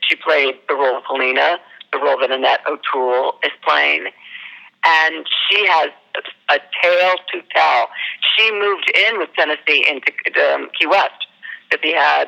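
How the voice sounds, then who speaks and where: A woman with an American accent at a moderate pace, in a dry, close sound with no echo and noticeable background noise. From US South, Northern Virginia (Arlington). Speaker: actor and theater producer. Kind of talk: interview.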